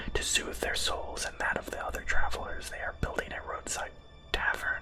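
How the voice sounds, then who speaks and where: Whispering comes through amid noticeable background noise. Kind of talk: ASMR gaming let's play. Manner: whispered, soft.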